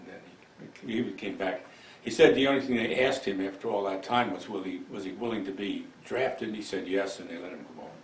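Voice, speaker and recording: A man with an American accent speaks at a medium pitch and a fairly quick pace. His pitch varies in an ordinary way over noticeable background noise. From Milan, New York. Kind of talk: oral history interview answer. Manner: hesitant, reflective.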